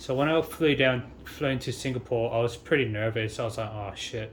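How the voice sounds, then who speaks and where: In an Australian accent, a man talks at a fairly quick pace in a somewhat breathy voice. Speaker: travel vlogger. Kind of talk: casual vlog monologue. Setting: high-rise hotel room with a view. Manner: hesitant, many fillers.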